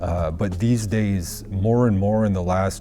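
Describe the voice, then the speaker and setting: A man speaks with a northern Canadian accent in a very deep, low pitch and ordinary pitch variation. Music plays in the background, and the room echo is audible. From Northwest Territories, Canada (Fort Good Hope, Yellowknife). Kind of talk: interview. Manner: halting, many fillers.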